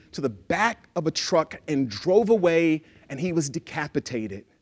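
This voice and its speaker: In an American accent, the speaker goes at a fairly slow pace with lively intonation, recorded in a dry, close sound with no echo. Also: man. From East Texas (Lufkin). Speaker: pastor. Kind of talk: sermon.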